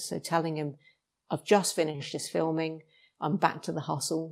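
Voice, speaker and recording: On a very clean recording with a silent background, a woman with a British accent speaks at a moderate pace in a very deep, low pitch and a monotone, flat delivery. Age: 50s. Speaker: actor, former police officer. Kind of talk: casual interview.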